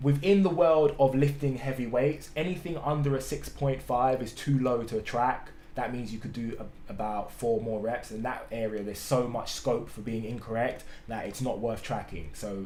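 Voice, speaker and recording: A man with a dark, mellow tone talks at a moderate pace, with audible echo from the room. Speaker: fitness coach. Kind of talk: tutorial. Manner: slurring words; casual, hesitant with fillers.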